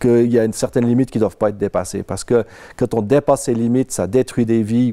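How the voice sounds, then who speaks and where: A man's dark, mellow tone moves with fairly even intonation over quiet surroundings. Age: 50s. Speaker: IT worker, insurance surveillance victim; interviewee. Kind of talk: personal testimony; interview answer. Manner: hesitant, with frequent fillers. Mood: calm, serious. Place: home room. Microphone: lapel.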